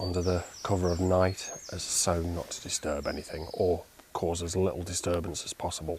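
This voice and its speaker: A quiet man with a British accent and a very deep, low pitch talks at a moderate pace over noticeable background noise. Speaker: wildlife photographer. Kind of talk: vlog narration. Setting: outdoors.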